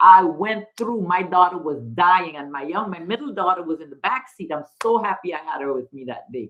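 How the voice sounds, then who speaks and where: A woman with a fairly low pitch talks at a moderate pace, her intonation lively and her tone animated. She barely pauses, and her loudness swings widely. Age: 60s. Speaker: livestream host, mother. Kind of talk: casual live chat. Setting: livestream.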